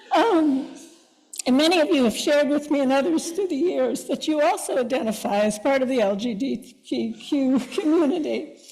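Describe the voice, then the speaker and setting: A woman's high voice at a moderate pace, with lively intonation, very even loudness and audible room echo. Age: 70s. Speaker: congregation member. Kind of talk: personal testimony. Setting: church service.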